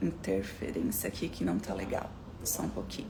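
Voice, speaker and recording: Audible room echo surrounds a woman's voice. Her pitch swings very widely. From southern Brazil, Florianópolis. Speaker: motivational speaker. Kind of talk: live stream talk. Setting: live stream. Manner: fast.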